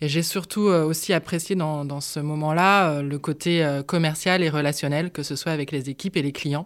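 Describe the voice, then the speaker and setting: A woman speaks with a very deep, low pitch and fairly even intonation. Her pace is moderate, with hardly any pauses. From France, Nantes. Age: 40s. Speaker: coworking space founder. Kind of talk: interview. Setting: at the coworking space.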